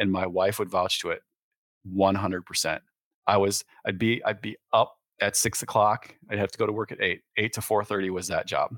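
In a Midwestern US accent, a man speaks at a moderate pace with a fairly low pitch and monotone, flat intonation. The recording is very clean with a silent background, and the sound is dry and close with no echo. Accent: US Midwest. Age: 40s. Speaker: real estate broker and landowner. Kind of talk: casual interview.

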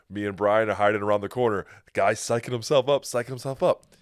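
In a very clean recording with a silent background, a man speaks at medium pitch in an unremarkable speaking voice. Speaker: podcast host and independent wrestler. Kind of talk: casual podcast chat. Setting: home basement studio.

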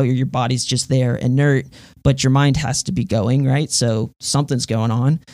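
With fairly even intonation, a normal speaking voice proceeds at a moderate pace. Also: man. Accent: American. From Texas, Houston. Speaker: audio engineer and electronic musician. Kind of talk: casual interview.

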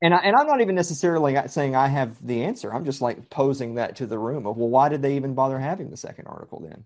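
Speaking in a Southern US accent, a man talks at a very fast pace with hardly any pauses. His pitch is fairly high with ordinary variation, against a quiet background. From Middle Tennessee. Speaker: podcast guest. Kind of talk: casual chat.

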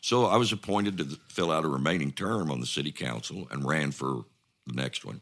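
Lively intonation at a fairly quick pace, in an Ozark accent. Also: man, very deep, low pitch for a man. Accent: Southern US (Ozarks). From US South, northwest Arkansas. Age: 70s. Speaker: former mayor. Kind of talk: casual interview.

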